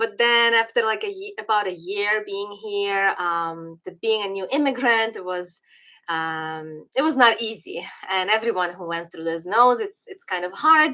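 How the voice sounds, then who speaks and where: In a Ukrainian accent, a woman speaks fairly slowly at a medium pitch, her tone bright and sharp, her intonation lively and her loudness swinging widely, in a very clean recording with a silent background. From western Ukraine (Galicia, Lviv area). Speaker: political commentator. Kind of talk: livestream commentary. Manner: hesitant, many fillers and restarts.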